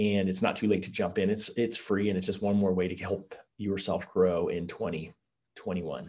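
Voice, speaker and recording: A man with a fairly low pitch speaks in a monotone, flat intonation with hardly any pauses. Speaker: business coach. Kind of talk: webinar presentation. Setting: video call. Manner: fast talker. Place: home room. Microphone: webcam.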